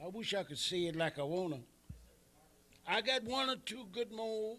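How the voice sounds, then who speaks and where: Raised, projected voice with a bright, sharp tone, an American accent, lively intonation and a moderate pace. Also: man, high pitch for a man. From Iowa (Waterloo). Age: 70s. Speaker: retired pro wrestler. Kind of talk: interview. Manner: animated.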